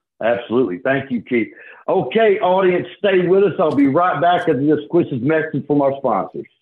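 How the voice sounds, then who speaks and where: A man's fairly high-pitched voice, an ordinary speaking voice, with lively intonation and very even loudness. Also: moderate pace. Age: 40s. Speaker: radio host. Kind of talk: scripted radio intro and outro; casual interview.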